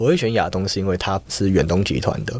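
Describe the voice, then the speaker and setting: On a very clean recording with a silent background, a man speaks in a plain, everyday voice, fairly low in pitch, with ordinary pitch variation. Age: young. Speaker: university student. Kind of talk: interview.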